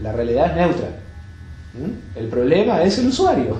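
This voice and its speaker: A man is speaking. Some room echo can be heard. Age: 70s. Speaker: yoga teacher. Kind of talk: talk to an audience. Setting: bookshop talk with audience.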